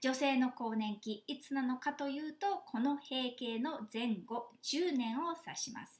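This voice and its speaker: With hardly any pauses, a woman speaks at a fairly slow pace in a high pitch, with ordinary pitch variation and big swings in loudness. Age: 50s. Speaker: flight attendant and health seminar lecturer. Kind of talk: online seminar lecture; guided exercise instruction. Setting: video call.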